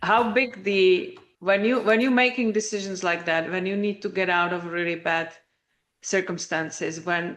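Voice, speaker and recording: A normal speaking voice, a woman at medium pitch with fairly even intonation and a moderate pace. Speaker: podcast host. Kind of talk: casual podcast conversation.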